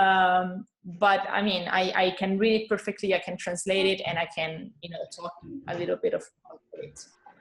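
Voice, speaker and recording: With an Italian accent, a woman speaks at a moderate pace in a medium pitch, her intonation monotone and flat but her loudness swinging widely. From Italy, Rome. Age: 30s. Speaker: guest from abroad. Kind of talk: casual chat. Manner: halting.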